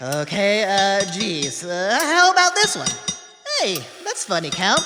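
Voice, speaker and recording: Faint music plays in the background as someone speaks in a put-on character voice at a middle pitch and a fairly slow pace. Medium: audio drama. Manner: casual, eager, hesitant.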